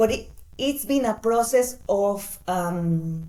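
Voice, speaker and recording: With audible room echo, a woman speaks very slowly in a dark, mellow tone, her fairly high pitch showing ordinary variation. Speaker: design brand founder. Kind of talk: interview. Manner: halting.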